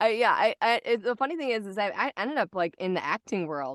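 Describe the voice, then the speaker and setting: A raspy woman's voice at a fairly quick pace, dry and close with no echo, over a quiet background. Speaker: voice actor. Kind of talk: casual chat.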